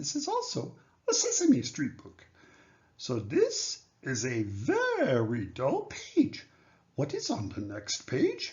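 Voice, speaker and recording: A man uses a put-on character voice at a fairly slow pace. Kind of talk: picture book read-aloud in character. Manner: anxious, pleading, excitable.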